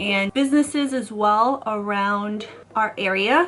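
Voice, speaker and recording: A woman with a Chicago-area accent talks in an animated tone over noticeable background noise. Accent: Chicago-area American English. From US Midwest, Chicago suburbs (Illinois). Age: 20s. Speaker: YouTuber. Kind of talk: casual vlog talk.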